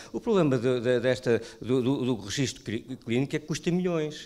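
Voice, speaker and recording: A man with a European Portuguese accent in a very clean recording with a silent background. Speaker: primary care doctor. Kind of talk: panel discussion. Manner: halting.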